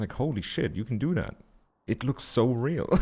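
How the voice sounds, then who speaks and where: Recorded very cleanly against a silent background, a man with a German accent lets his pitch swing very widely. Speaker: video game streamer. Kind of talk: live gameplay commentary. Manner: animated.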